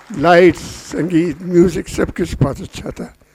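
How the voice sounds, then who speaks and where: This man speaks with a high pitch. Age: 80s+. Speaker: playwright. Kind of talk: post-show speech to audience. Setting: stage with audience. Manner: repetitive, emphatic.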